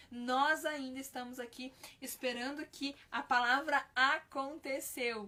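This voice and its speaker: Speaking at a very slow pace, a woman with a high pitch uses a raised, projected voice with fairly even intonation, big swings in loudness and a bright, sharp tone. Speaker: children's ministry teacher. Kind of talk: live-stream Bible teaching. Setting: live stream.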